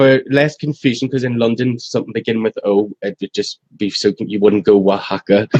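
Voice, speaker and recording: Fairly quick with hardly any pauses, a man speaks at a medium pitch with fairly even intonation in a dry, close sound with no echo. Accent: strong Irish. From Ireland. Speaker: restaurant employee. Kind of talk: casual interview. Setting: live stream.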